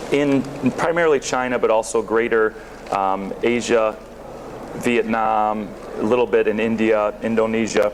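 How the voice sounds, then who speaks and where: A man with an American accent and medium pitch speaks at a moderate pace with long, frequent pauses, very even loudness and fairly even intonation against noticeable background noise. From northern US near Canada. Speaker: sourcing consultant. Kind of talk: conference talk. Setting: stage with audience. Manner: halting with frequent repetitions and fillers.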